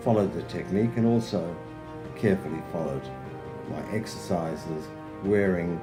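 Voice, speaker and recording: Music plays in the background as a man speaks with a very deep, low pitch. His voice makes very wide pitch swings. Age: 70s. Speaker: fitness program client. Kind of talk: client testimonial.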